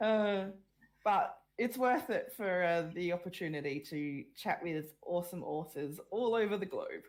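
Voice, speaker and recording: Here a woman talks in an Australian accent at a medium pitch. Her pace is fairly slow and her intonation lively. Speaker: web panel host, author. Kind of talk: online panel discussion.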